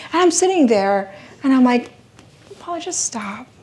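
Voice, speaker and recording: A woman's high-pitched, animated voice at a fairly quick pace, with lively intonation, noticeable background noise and audible room echo. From Philippines. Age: 40s. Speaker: motivational speaker and women's coach. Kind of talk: keynote speech. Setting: stage with live audience.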